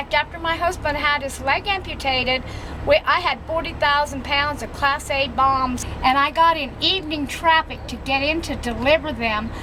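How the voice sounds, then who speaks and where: Over noticeable background noise, a woman projects a raised voice at a high pitch with fairly even intonation. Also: moderate pace. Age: 70s. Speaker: truck driver. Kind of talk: testimony.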